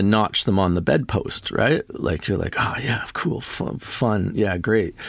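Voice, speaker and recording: The speaker is a man with a Canadian accent and an unremarkable speaking voice. He talks at a fairly slow pace. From Toronto, Canada. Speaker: DJ and record producer. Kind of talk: casual interview chat.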